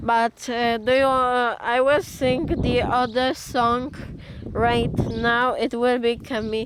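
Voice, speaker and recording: The delivery is very slow and monotone, with flat intonation. Noticeable background noise runs underneath. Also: woman, high pitch for a woman. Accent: Polish. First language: Polish. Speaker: amateur singer vlogger. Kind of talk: casual vlog chat. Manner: halting, many fillers.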